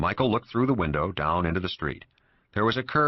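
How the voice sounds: Lively intonation colors a natural reading voice.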